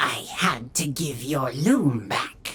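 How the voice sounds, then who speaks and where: Growling put-on character voice in a low-to-middle pitch. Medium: read story.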